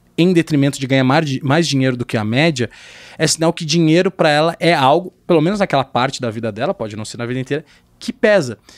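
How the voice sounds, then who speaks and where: Against a quiet background, a man with a fairly high pitch speaks at a fairly quick pace with lively intonation. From southern Brazil, Porto Alegre; Rio Grande do Sul, Brazil. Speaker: sales executive. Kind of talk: casual chat. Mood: relaxed, casual, animated. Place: studio. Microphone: studio mic.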